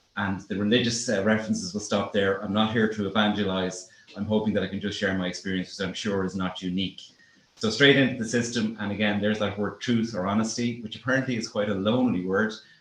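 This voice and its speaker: A man speaks very fast with an Irish accent. His fairly low voice stays flat and monotone. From Ireland. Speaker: aviation planning practitioner. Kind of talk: conference presentation.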